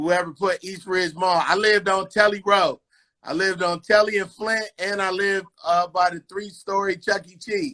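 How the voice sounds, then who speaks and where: A man with an American accent speaks in a raised, projected voice at a moderate pace, his pitch high and his tone bright and sharp. His delivery is animated, with big swings in loudness. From California (LA area and Bay Area). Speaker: comedian and radio personality. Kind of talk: casual interview chat.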